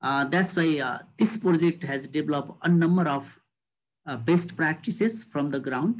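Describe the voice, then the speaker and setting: Speaking with a Nepali accent, a man has a fairly high pitch and ordinary pitch variation. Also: moderate pace. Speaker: government official; panelist. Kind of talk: panel discussion. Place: home room. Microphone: video call.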